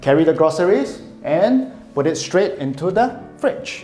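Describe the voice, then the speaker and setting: A man speaks with audible room echo and faint music in the background. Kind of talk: property tour commentary. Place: kitchen.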